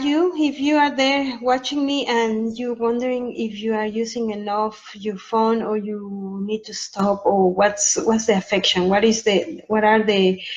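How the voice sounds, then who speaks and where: A woman's fairly high, somewhat breathy voice with a strong Mexican accent, ordinary pitch variation and a fairly slow pace. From Mexico. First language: Spanish. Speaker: sleep consultant. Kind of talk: informational talk to camera. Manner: halting, many filler ums.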